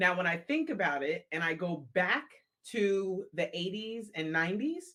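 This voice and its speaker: A woman's voice, an unremarkable speaking voice, medium in pitch, at a moderate pace with lively intonation. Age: 50s. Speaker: podcast co-host. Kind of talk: casual podcast conversation. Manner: candid, humorous.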